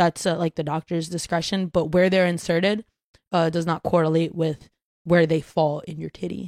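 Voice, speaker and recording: A woman speaks at a moderate pace, her fairly low voice flat and monotone. The recording is very clean, with a silent background and a dry, close sound with no echo. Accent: American. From Brooklyn, New York. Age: 20s. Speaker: content creator and musician. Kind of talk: casual chat.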